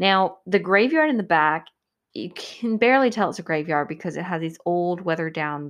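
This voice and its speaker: A woman with an American accent speaks at a fairly low pitch and a moderate pace. The background is quiet. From Georgia, US South. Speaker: podcast host. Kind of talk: storytelling monologue. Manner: casual, laughs often.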